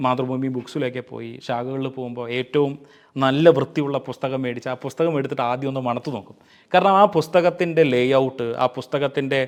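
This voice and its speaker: Speaking in an ordinary speaking voice, a man at medium pitch keeps his intonation fairly even while his loudness swings widely. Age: 40s. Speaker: book reviewer. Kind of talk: book review talk.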